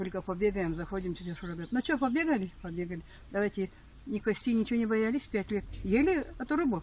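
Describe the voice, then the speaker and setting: A woman talks very fast with lively intonation, her voice dry and free of any echo. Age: 80s+. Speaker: elderly villager; interviewee. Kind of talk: personal reminiscence. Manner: halting. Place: garden.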